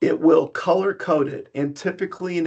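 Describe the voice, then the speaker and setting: At a moderate pace, a man talks with fairly even intonation in an ordinary speaking voice. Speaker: software presenter. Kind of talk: product demo webinar. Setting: online webinar. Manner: many filler ums.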